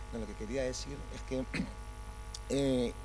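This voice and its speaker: Audible room echo and noticeable background noise around a male speaker. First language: Spanish. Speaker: theatre director. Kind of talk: post-show discussion.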